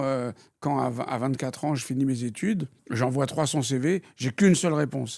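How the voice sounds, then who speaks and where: Moderate pace and ordinary pitch variation on a very clean recording with a silent background. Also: man. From France (born in Algeria, raised in France). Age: 60s. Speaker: retired banker and city politician, blind. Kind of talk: interview.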